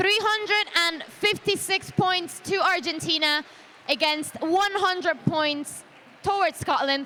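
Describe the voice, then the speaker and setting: An animated woman with an extremely high pitch speaks in a raised, projected voice at a fairly slow pace, with very even loudness and ordinary pitch variation. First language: not English. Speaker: roller derby commentator. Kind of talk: live sports commentary.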